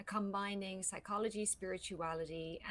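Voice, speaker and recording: In an Irish accent, a woman speaks at a moderate pace and medium pitch with monotone, flat intonation. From Ireland. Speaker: voice coach. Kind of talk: casual interview chat. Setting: live stream.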